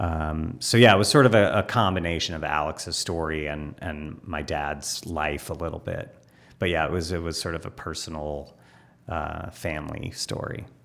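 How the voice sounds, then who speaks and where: In a General American accent, a man talks with a very deep, low pitch and ordinary pitch variation. He keeps a moderate pace, with big swings in loudness. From Los Angeles, US. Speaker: film director. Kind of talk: interview. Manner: hesitant, many fillers.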